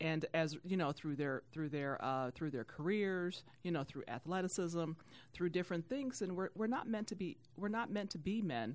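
Here is a plain, everyday voice with an American accent and lively intonation. The pace is moderate. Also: woman, fairly low pitch for a woman. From Youngstown, Ohio. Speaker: church volunteer and media sales executive. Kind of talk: podcast interview.

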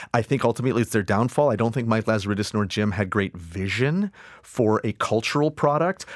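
A normal speaking voice from a man at medium pitch, with lively intonation, very even loudness and a fairly quick pace, on a very clean, silent recording with a dry, close sound and no echo. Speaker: director and actor. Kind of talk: casual interview chat.

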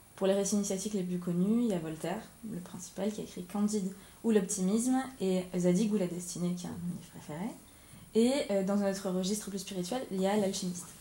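In a room with audible echo, a woman talks at a fairly quick pace, her medium pitch held in fairly even intonation. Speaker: podcast host. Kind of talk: interview. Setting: media library room.

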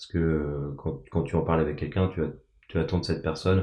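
Speaking at a fairly quick pace, a man delivers his words in a flat monotone. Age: 30s. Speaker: bereaved son sharing his story. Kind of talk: testimony. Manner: halting, many hesitations and repetitions.

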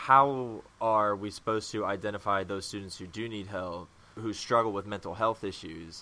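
In a plain, everyday voice, a man with a fairly low pitch talks at a moderate pace with fairly even intonation and hardly any pauses. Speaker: interviewer. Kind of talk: interview.

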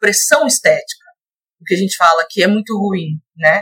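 Dry and close with no echo, a woman's plain, everyday voice sits at medium pitch, moving at a fairly slow pace with ordinary pitch variation. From Belo Horizonte, Minas Gerais, Brazil. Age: 20s. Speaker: Spanish teacher and model. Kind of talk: podcast interview. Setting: virtual recording.

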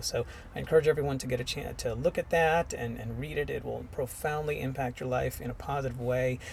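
Over noticeable background noise, a man speaks at a very fast pace in an enthusiastic tone. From India, Mumbai. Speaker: podcast host. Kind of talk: interview.

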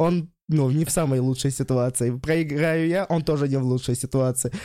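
This man talks at a moderate pace with a dark, mellow tone and ordinary pitch variation. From Russia, Vladimir region. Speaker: stand-up comedian. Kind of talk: casual chat.

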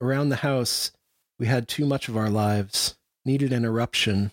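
A man speaks in a dramatic tone at a medium pitch with fairly even intonation, recorded dry and close with no echo on a very clean track with a silent background. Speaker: poet and poetry editor. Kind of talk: poem performed, reading erasure poem aloud. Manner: measured, deliberate reading with clipped rhythm and dramatic pauses.

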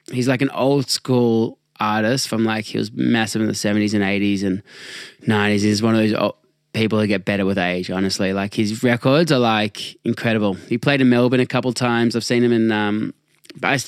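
A man with an ordinary speaking voice talks at a medium pitch with ordinary pitch variation and very even loudness. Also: very clean recording, silent background. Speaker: podcast host. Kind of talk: casual chat. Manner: casual, joking.

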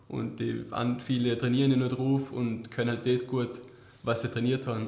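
A man at medium pitch in a monotone, flat intonation and a moderate pace, with audible room echo and noticeable background noise. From Vorarlberg, Austria. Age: 20s. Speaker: award-winning apprentice technician. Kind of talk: interview. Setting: office.

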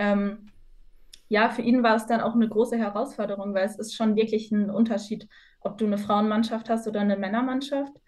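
At a fairly quick pace, a woman speaks with a fairly high pitch, a somewhat breathy sound and monotone, flat intonation. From northwestern Germany, Osnabrück. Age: 20s. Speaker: university student and futsal player. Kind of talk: podcast interview.

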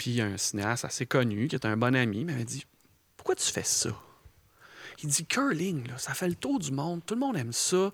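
Pausing long and often, a man with a medium pitch speaks at a moderate pace. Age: 40s. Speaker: film director. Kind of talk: casual chat.

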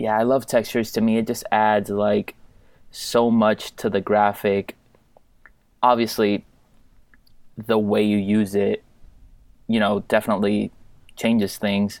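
A man speaks slowly-ish at a fairly low pitch, his intonation monotone and flat, leaving long, frequent pauses. The recording is very clean, with a silent background. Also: very even loudness. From Puerto Rico. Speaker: sports graphic designer. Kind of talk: casual interview chat.

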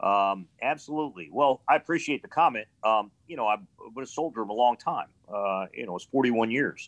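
A man with an American accent and a normal speaking voice, at a moderate pace with lively intonation. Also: medium pitch for a man. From Pittsburgh, Pennsylvania and Ohio. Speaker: retired military colonel. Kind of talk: casual interview chat. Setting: video call.

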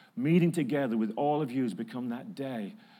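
An American accent marks this man's fairly high voice, which has a dark, mellow tone and audible room echo. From northern England, Manchester. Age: 50s. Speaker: preacher. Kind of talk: sermon. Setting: church.

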